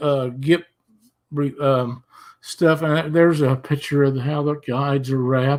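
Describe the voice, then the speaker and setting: The recording is very clean, with a silent background, and a man has a normal speaking voice. He talks at a fairly slow pace with a fairly high pitch and fairly even intonation. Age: 60s. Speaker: retired auto mechanic, fishing rod builder. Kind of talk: casual chat.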